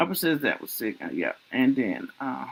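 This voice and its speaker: With a Southern US accent, the speaker sounds animated and has vocal fry, moving at a moderate pace. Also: woman. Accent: Southern US country. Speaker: livestream talk show host. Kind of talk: casual chat.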